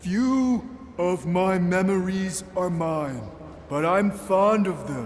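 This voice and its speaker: A man uses a put-on character voice, high in pitch and very slow in pace. Clear background noise runs behind him. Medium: video game. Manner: short clipped phrases; hesitant.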